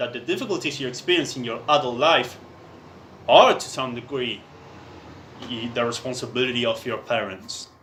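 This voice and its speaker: A man with a medium pitch talks at a moderate pace with a non-native accent. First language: not English. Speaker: writer reading own text. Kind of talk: reading aloud. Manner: halting.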